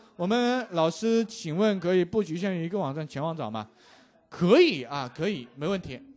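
A man at a moderate pace. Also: big swings in loudness. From China, Changsha (Hunan). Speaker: programming teacher. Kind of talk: live online coding class. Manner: animated, chatty with fillers.

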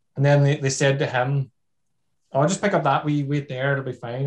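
Against a quiet background, a man with a fairly high pitch and a somewhat breathy voice talks at a fairly quick pace. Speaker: TV obstacle course show contestant; podcast guest. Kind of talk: casual storytelling. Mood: relaxed, amused. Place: home room. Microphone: webcam.

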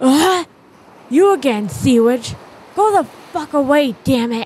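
In a put-on character voice, a female-sounding speaker talks at a fairly slow pace with a high pitch. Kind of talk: comic dub. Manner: angry, rude.

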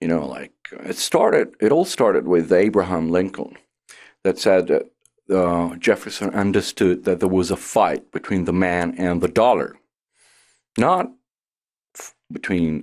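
A man's very deep, low voice at a moderate pace, with ordinary pitch variation and a quiet background. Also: big swings in loudness. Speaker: professor being interviewed. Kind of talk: interview answer. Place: studio. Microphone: studio mic.

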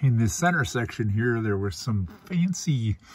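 A man speaks at a fairly slow pace in a fairly low pitch. His voice is somewhat breathy, with a dry sound and no echo. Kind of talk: casual vlog chat. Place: car. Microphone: phone near.

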